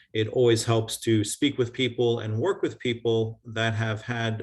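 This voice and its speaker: A man with a New York accent talks at medium pitch in a somewhat breathy voice. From US Northeast, New York (Long Island). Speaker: construction contractor and real estate developer. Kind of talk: video call talk with Q&A. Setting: video call. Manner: fast.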